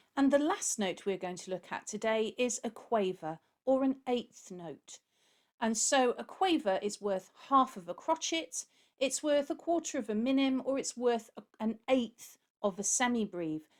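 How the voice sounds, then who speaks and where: In a very clean recording with a silent background, a woman with a British accent speaks at a high pitch and a fairly slow pace, using lively intonation. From UK. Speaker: music teacher. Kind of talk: tutorial.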